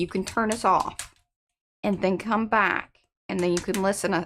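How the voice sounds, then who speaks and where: Over a silent background on a very clean recording, a woman with a normal speaking voice talks at a moderate pace and medium pitch, her intonation fairly even. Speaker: art livestream co-host. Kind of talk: casual chat.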